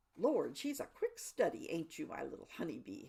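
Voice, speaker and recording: A woman adopts a put-on character voice, pitched high and delivered at a moderate speed. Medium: read story. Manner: folksy, warm.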